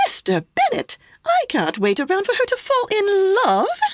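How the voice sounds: A woman does a put-on character voice at an extremely high pitch with very wide pitch swings. She keeps a moderate pace, and the sound is dry and close with no echo.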